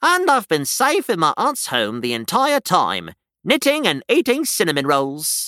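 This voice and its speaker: A man's high-pitched put-on character voice on a very clean recording with a silent background. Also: moderate pace. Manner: gentle, cheerful.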